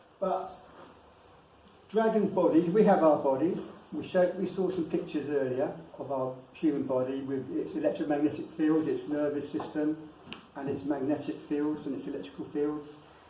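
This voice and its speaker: A man's fairly high voice comes through with ordinary pitch movement. Background noise is clearly audible as he talks at an even, middling speed. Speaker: lecturer on dragons and wizardry. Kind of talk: lecture with slides.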